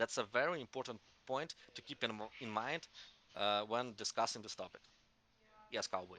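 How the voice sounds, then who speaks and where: With a dry, close sound that has no echo, a man talks at a moderate pace and medium pitch in a bright, sharp tone, with ordinary pitch variation and long, frequent pauses. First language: not English. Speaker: crypto community call moderator. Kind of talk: community call discussion. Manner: halting, many false starts.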